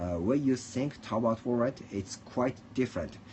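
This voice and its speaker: The speaker has a Japanese accent and lively intonation. Noticeable background noise is present. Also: man. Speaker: livestreamer. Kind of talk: casual monologue. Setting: at home. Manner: halting.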